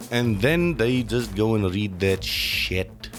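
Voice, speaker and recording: A man at a fairly low pitch with ordinary pitch variation, a very slow pace, and music in the background. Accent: South African. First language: Afrikaans. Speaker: commentary vlogger. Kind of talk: casual opinion rant. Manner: animated.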